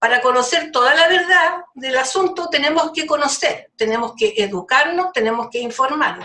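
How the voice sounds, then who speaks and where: A woman with a Chilean accent speaks in a raised, projected voice at a moderate pace. Her tone is bright and sharp, with very wide pitch swings. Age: 70s. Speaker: community activist. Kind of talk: podcast discussion. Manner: animated.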